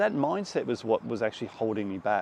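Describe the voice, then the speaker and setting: Speaking at a fairly quick pace, a man with an Australian accent uses a medium pitch. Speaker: filmmaker. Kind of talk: reflective talk to camera. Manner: casual, conversational.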